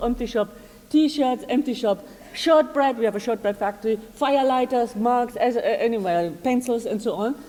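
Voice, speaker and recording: Over noticeable background noise, a woman talks at a fairly quick pace in a high pitch. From Germany, Munich. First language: German. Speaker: arts organisation director. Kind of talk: conference presentation. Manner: fast; halting, many fillers.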